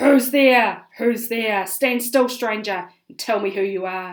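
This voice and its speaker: A female-sounding voice puts on a growling character voice at a fairly high pitch. The pace is fairly slow. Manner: menacing, demanding.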